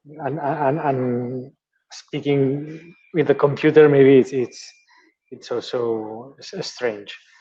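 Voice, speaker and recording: The voice moves at a very slow pace with fairly even intonation, a dark, mellow tone and big swings in loudness. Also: man, fairly high pitch for a man. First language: Catalan or Spanish. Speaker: teacher and maker. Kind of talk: online meetup presentation. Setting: video call from school room. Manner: halting.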